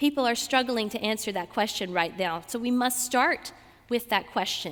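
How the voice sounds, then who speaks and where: A woman with a Southern US accent speaks at a moderate pace in a fairly high pitch, her tone animated and her pitch variation ordinary. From US South, Georgia. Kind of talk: talk to a student audience.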